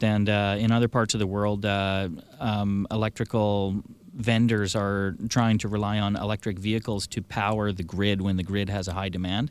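This man has a normal speaking voice, pitched fairly low, and talks at a moderate pace. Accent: Canadian. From Victoria, British Columbia, Canada. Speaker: electric vehicle dealer. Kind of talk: radio interview. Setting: studio.

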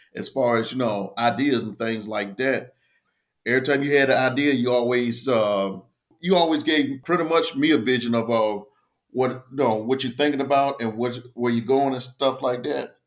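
An unremarkable speaking voice with an American accent. It moves at a moderate pace with ordinary pitch variation. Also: man, medium pitch for a man. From US South, Tidewater Virginia. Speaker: army veteran and small business owner. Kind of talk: casual interview.

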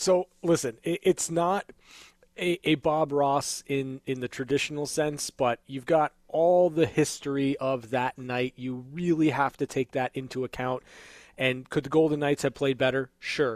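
In a very clean recording with a silent background and a dry, close sound with no echo, a man with an ordinary speaking voice talks at a fairly slow pace, his fairly high pitch held to fairly even intonation. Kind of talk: studio sports talk show analysis, not live play-by-play. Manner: polished, measured broadcaster delivery, opinionated and warm.

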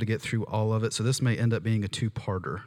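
The delivery is animated and very fast. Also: man. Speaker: preacher. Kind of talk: sermon with live prayer and prophetic words over a congregation. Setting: church with live audience. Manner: fervent, earnest, conversational and animated.

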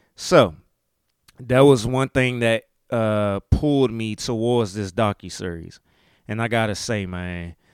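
In a very clean recording with a silent background and a dry, close sound with no echo, a man with a Maryland accent speaks fairly slowly at a medium pitch with ordinary pitch variation. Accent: Southern-tinged Maryland US. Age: 40s. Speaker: podcast host. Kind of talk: casual monologue podcast. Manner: casual, animated.

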